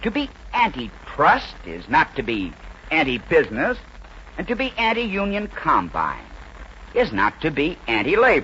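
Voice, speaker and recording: A man with an American accent at a moderate pace, long, frequent pauses and noticeable background noise behind him. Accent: mid-century American broadcast English. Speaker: radio commentator and author. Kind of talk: radio speech, political commentary.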